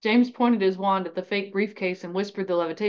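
This is an unforced reading voice. The words come out without strain.

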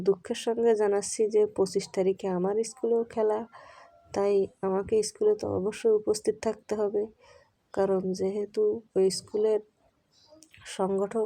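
A woman's medium-pitched voice, dark and mellow in tone, stays monotone and flat in a very clean recording with a silent background. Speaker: vlogger. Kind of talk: walking vlog narration. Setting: outdoors. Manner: stumbling over words; casual, chatty.

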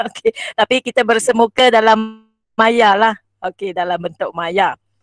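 Over a quiet background, a woman with a fairly high pitch and ordinary pitch variation is recorded in a dry sound with no echo. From Malaysia, Perak (Setiawan); Perak, Malaysia. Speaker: schoolteacher and workshop presenter; workshop trainer. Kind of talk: online teaching workshop tutorial. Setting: video call. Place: home room. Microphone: handheld.

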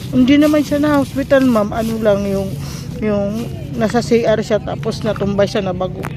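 A woman's intonation is lively, and noticeable noise can be heard in the background. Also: medium pitch for a woman, moderate pace. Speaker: vlogger. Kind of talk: vlog. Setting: outdoors in a cemetery.

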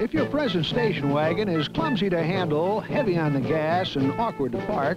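Over music in the background, a man with a high pitch speaks at very even loudness with ordinary pitch variation. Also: moderate pace. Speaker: TV host. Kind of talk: TV commercial read.

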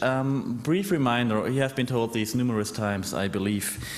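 Pitch varies in an ordinary way as a man speaks at a moderate pace. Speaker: researcher; conference presenter. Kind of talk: conference talk. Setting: stage with audience. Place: hall.

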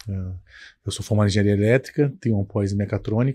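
Monotone, flat delivery from a man with a dark, mellow tone against a quiet background. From Brazil, Petrópolis, Rio de Janeiro state; Rio de Janeiro state. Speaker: company founder; guest. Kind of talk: podcast interview. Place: studio. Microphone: studio mic.

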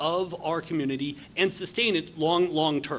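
A man's voice with light background noise. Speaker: conference speaker. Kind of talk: conference talk. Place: hall. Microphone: podium.

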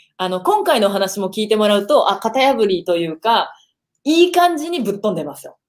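The background is quiet as a woman speaks at a moderate speed. Her intonation is lively. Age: 30s. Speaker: online video marketing coach and live-stream host; online video marketing coach, live-stream host. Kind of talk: casual live-stream chat. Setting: live stream video call. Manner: animated. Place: home room.

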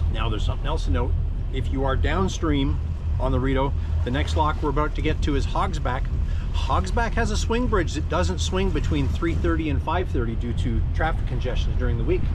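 Noticeable background noise sits behind a man talking at a moderate pace. The sound is dry, with no echo. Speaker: boater vlogger. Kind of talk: casual vlog chat. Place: boat. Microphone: phone near.

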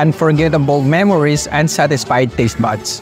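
A man's voice over clear music in the background. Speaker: food vlogger. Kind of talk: vlog outro to camera. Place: cafe.

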